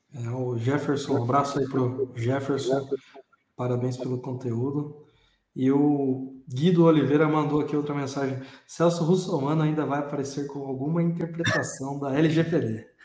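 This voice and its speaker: This man's fairly high voice keeps a fairly even intonation, with audible room echo around it. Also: moderate pace. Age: 20s. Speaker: podcast host. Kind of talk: casual chat.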